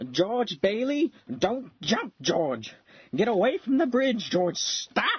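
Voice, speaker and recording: A put-on character voice sits at a fairly high pitch. It speaks at a very slow pace. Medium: audio drama. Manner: stammering, earnest.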